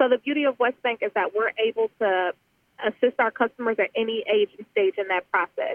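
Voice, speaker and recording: Fairly high in pitch, a woman talks at a fairly quick pace in a plain, everyday voice with ordinary pitch variation. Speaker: consultant. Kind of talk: radio interview.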